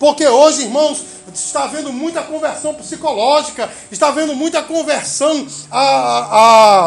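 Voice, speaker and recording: A man talks in an extremely high pitch with ordinary pitch variation. Noticeable background noise runs underneath. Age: 40s. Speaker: pastor. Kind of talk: sermon. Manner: halting.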